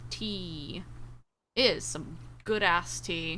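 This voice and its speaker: A woman speaks with an American accent. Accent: Southern accent shows only when upset. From US South/Midwest border. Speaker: VTuber streamer. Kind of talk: casual livestream chat. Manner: animated.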